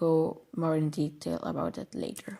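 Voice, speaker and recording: A woman speaks with a Flemish accent at a fairly low pitch. Her tone is dark and mellow, and her pace is very slow. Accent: Belgian Dutch (Flemish) accent in English. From Belgium. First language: Dutch. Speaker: programming tutorial creator. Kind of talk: tutorial. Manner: halting, many filler words and self-corrections.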